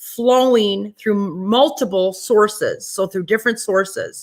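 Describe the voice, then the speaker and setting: The pace here is moderate, with ordinary pitch variation. It is an unremarkable speaking voice. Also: woman. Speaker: psychic medium and webinar host. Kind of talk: sales pitch. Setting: online webinar.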